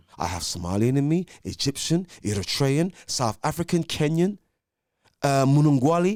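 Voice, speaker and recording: A fairly high-pitched man with very wide pitch swings, on a very clean recording with a silent background. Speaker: debater. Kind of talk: heated debate. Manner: fast; animated.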